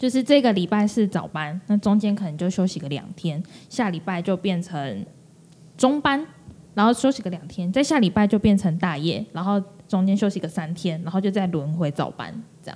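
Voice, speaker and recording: A woman speaks at medium pitch. Her tone is dark and mellow, and somewhat breathy. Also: lively intonation, moderate pace. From Taiwan, Kaohsiung. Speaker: podcast co-host. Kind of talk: casual chat. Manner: animated, laughing often.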